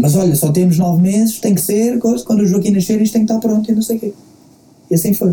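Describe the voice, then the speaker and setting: A man talks at a very fast pace in a Lisbon accent. His tone is dark and mellow, with ordinary pitch variation. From Portugal, Queluz (Lisbon area). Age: 30s. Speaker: rapper. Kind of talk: casual interview. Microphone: lower sound quality due to technical problems.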